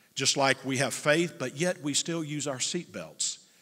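With a quiet background, a man uses a bright, sharp tone at a moderate pace with ordinary pitch variation. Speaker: church pastor. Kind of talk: prepared statement to congregation. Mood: earnest, firm. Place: church. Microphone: headset.

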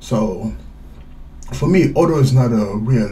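Audible room echo and noticeable background noise surround a man speaking at a medium pitch. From Sweden. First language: Swedish. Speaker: heavyweight boxer. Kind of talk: casual commentary. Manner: halting.

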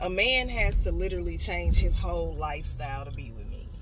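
Clear background noise and audible room echo surround a woman with a fairly low pitch, who talks at a fairly quick pace with lively intonation.

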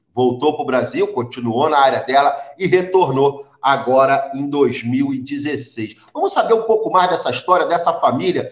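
Hardly any pauses break the moderate pace and ordinary pitch variation, with audible room echo over a quiet background. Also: man, fairly high pitch for a man. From Brazil. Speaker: YouTube channel host interviewing immigrants. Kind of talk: interview. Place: home room. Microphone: webcam.

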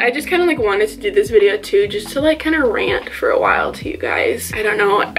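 Over clear music in the background, a woman at a medium pitch talks at a fairly quick pace with big pitch swings.

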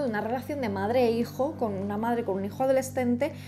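A woman talking at a fairly quick pace, with clear music in the background. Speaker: tarot reader. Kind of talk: tarot reading commentary. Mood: calm, explanatory. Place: home room. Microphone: camera far.

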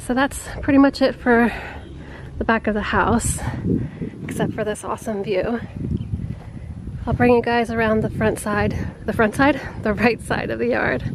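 Against noticeable background noise, a woman talks at a moderate pace with fairly even intonation and long, frequent pauses, in a dry sound with no echo. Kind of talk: casual vlog chat. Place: garden. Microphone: phone near.

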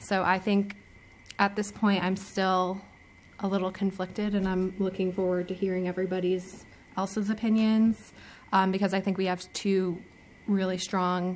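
At a moderate pace, a woman talks with very even loudness and a monotone, flat intonation. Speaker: council member. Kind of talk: deliberation remarks at a public meeting. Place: meeting room. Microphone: podium.

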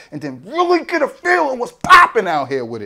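A man with an animated tone at a very fast pace, over a quiet background. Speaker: YouTuber, tech and fitness channel host; tech unboxing host. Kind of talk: casual unboxing vlog. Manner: rambling, halting with repetitions.

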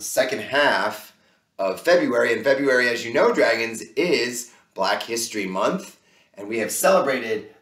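In audible room echo with a quiet background, a man speaks at a moderate pace. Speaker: children's show host. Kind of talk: kids' educational presenting. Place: home room.

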